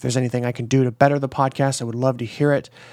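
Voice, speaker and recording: A man speaks in a monotone with flat intonation. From US Midwest. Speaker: podcast host. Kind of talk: casual interview; scripted podcast intro. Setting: remote call.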